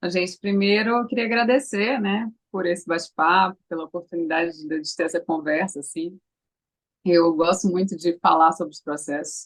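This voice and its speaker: A woman talks in an ordinary speaking voice at a fairly low pitch and moderate pace. Her pitch varies in an ordinary way, and her loudness swings widely. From Brazil, Recife (Pernambuco). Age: 30s. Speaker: actress. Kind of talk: interview.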